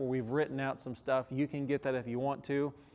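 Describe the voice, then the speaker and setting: The speaker is a man with a fairly high pitch. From Texas. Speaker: pastor teacher. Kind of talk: recorded teaching lesson. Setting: recorded video for small groups. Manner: halting, many fillers.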